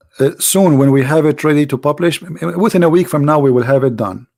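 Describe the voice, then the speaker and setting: In a very clean recording with a silent background, a man speaks with an Arabic accent. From Middle East. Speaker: religious debater and apologist. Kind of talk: live stream talk to audience. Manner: halting, with fillers.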